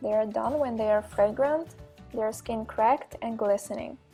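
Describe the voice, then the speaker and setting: Over music in the background, a woman with a non-native accent talks at a fairly high pitch with fairly even intonation. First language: not English. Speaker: graphic design student, home cook. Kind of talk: cooking class instruction.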